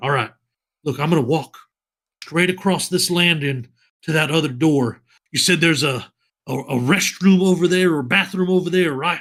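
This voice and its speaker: Putting on a character voice, a man drawls at a moderate pace and a fairly high pitch, with long, frequent pauses. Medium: actual play. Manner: rambling, drawling.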